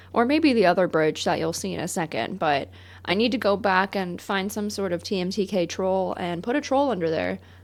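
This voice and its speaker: A woman's medium-pitched voice with vocal fry and lively intonation at a fairly quick pace, on a very clean recording with a silent background. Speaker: gaming YouTuber. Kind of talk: gameplay commentary. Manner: casual, joking.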